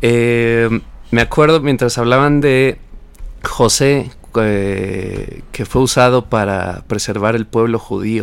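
The man speaks very slowly, his medium pitch showing ordinary variation. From Mexico. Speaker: radio co-host. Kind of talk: radio Bible discussion.

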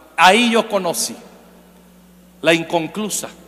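Noticeable background noise sits behind a man speaking at a moderate pace. His pitch is high, with ordinary pitch variation. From Mexico, Michoacán. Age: 40s. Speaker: preacher. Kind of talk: sermon.

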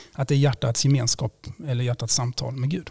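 A man's medium pitch, dark and mellow, somewhat breathy, at a very fast pace with ordinary pitch variation. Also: dry, close sound with no echo. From Sweden, Blekinge. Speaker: priest and theology lecturer. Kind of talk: interview, explaining faith arguments.

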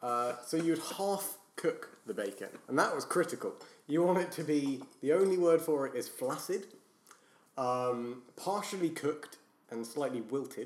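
A man with a British accent, fairly high in pitch, fairly slow in pace, and lively in intonation. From Britain. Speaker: podcast guest. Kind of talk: casual chat.

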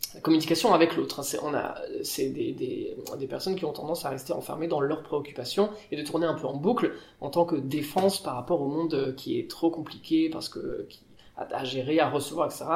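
Speaking at a moderate pace with fairly even intonation, a man with a fairly high pitch is heard over noticeable background noise, his loudness swinging widely amid audible room echo. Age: 30s. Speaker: pianist and improvising musician. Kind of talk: casual interview. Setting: on a theatre stage.

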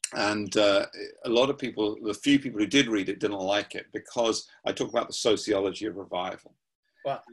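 A man talks in a southern English accent. His pace is fairly quick, with ordinary pitch variation. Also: fairly low pitch for a man. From southern England, Surrey. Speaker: pastor and prayer movement founder. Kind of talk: interview.

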